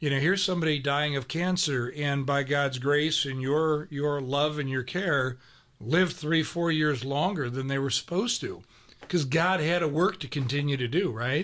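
An unremarkable speaking voice comes at a moderate pace. Its pitch varies in an ordinary way. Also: man, fairly high pitch for a man. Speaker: radio host. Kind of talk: interview. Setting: studio.

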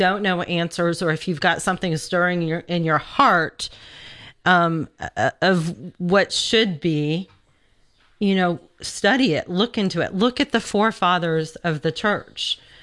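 A woman's fairly low voice, a normal speaking voice, at a fairly slow pace with ordinary pitch variation. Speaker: radio host. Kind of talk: pledge drive radio talk. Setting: radio studio.

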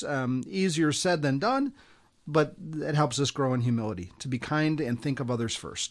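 Against a quiet background, a man with an American accent speaks in an unremarkable speaking voice. His pitch is fairly high with ordinary variation, and his pace is moderate. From US Midwest. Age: 60s. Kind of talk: radio interview.

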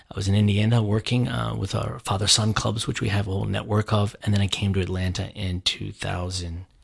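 A man with an American accent talks at a fairly quick pace with hardly any pauses. His fairly low voice is somewhat breathy, with fairly even intonation. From Annapolis, Maryland. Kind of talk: radio talk show. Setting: radio studio.

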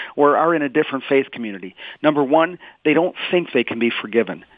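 A man with a fairly high pitch and a fairly quick pace. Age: 50s. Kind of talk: radio interview. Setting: phone call. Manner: animated.

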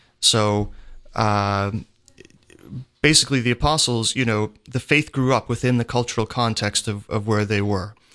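Against a quiet background, a man speaks at a medium pitch with a bright, sharp tone. His intonation is fairly even and his pace moderate. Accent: American. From Pennsylvania. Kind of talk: radio interview.

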